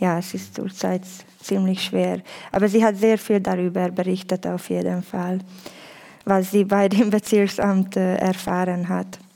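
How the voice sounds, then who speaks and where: A woman with a Hungarian accent and a medium pitch, at a fairly slow pace. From Hungary. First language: Hungarian (speaking German). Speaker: youth worker. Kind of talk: panel discussion. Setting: stage with audience.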